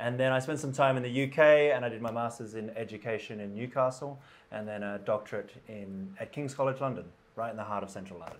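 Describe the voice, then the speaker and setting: With an Australian accent, a man talks at a very fast pace using medium pitch and ordinary pitch variation. His loudness swings widely. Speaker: school principal. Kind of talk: casual podcast conversation.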